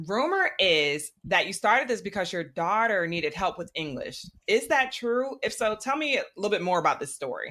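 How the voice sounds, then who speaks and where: Over background music, a woman talks at a medium pitch with very wide pitch swings. She hardly pauses at all. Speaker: podcast host. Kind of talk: interview. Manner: fast.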